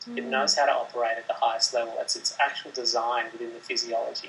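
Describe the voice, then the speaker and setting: Over noticeable background noise, a man talks at a very fast pace with an Australian accent. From Sydney, Australia. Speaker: meditation teacher. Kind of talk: interview answer, explanatory talk about meditation.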